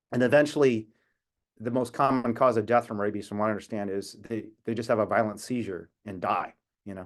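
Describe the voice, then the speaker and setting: Against a quiet background, a man with an American accent speaks in a plain, everyday voice at a fairly low pitch. His pace is fairly quick and his intonation fairly even. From United States. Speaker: animal rights activist. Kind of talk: talk on video call. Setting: video call.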